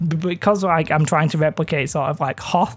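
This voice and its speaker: In a northern English accent, the speaker talks at a fairly quick pace with fairly even intonation. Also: man. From northern England. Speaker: miniature painting hobbyist youtuber. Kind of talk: tutorial. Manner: casual, hesitant with many fillers.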